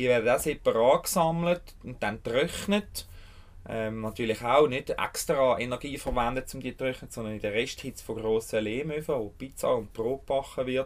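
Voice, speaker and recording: A man with a Swiss accent talks at a moderate pace in a medium pitch, with ordinary pitch variation. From Switzerland, Bernese Jura. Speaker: urban fallow land caretaker, permaculture gardener. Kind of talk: interview. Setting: outdoors on urban fallow land.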